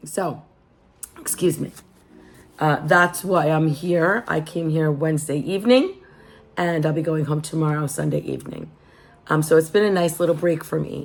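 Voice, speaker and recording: A woman with a very deep, low pitch speaks at a moderate pace with fairly even intonation. Her speech has long, frequent pauses. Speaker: lifestyle vlogger. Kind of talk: casual chat. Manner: relaxed.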